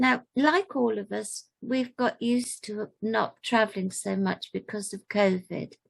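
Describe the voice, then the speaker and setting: Speaking at a fairly slow pace with hardly any pauses, a woman uses a fairly high, somewhat breathy voice with ordinary pitch variation. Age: 80s+. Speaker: community volunteer. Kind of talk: talk to camera. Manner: halting.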